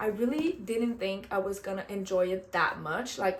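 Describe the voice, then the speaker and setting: A woman with a Quebec accent speaks in a medium pitch with an animated tone. Her pitch varies in an ordinary way. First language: French. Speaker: book vlogger. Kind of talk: casual book review vlog.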